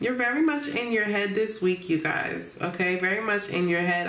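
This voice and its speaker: A woman speaks at a moderate pace with ordinary pitch variation. Audible room echo surrounds her voice. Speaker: tarot reader. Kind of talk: tarot reading commentary. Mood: warm, relaxed, laughs. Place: home room.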